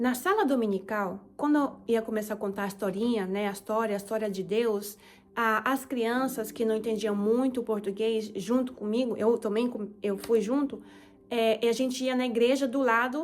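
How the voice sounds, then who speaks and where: Fairly high-pitched woman's speech in a Japanese accent, moderate in pace, with fairly even intonation. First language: Japanese (speaking Portuguese). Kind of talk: testimony.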